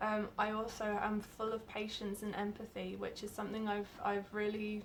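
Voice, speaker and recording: Speaking with a British accent, a woman uses a fairly high pitch and flat, monotone intonation. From UK. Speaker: job applicant, artist and entrepreneur. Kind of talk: video job application pitch.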